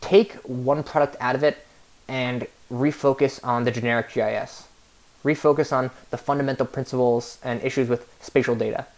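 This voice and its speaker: With an American accent, a man of medium pitch speaks in fairly even intonation. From New York. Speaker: graduate student presenter. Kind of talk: recorded class presentation. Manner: fast; halting, many filler words.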